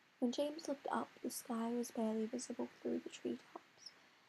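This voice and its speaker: Soft-spoken, a woman talks at a moderate pace. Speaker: amateur writer. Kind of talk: reading aloud. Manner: halting. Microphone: quiet recording.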